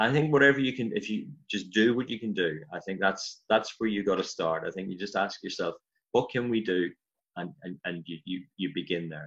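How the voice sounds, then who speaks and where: A man with a Northern Irish accent talks at a fairly quick pace, his pitch fairly low. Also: lively intonation. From Northern Ireland, County Armagh. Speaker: pastor. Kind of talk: interview.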